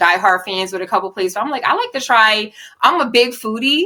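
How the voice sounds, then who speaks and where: Fairly quick, lively speech from a woman with a Philadelphia accent, fairly high in pitch and bright and sharp in tone. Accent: Philly. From Southwest Philadelphia, US. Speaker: poet and model. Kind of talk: casual interview. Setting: podcast.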